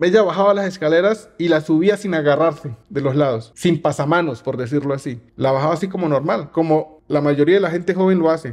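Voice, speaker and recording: A man speaks with a fairly high pitch and ordinary pitch variation. The background is quiet. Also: fairly quick pace, hardly any pauses. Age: 40s. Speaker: youtuber. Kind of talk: casual monologue. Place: home room. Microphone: studio mic.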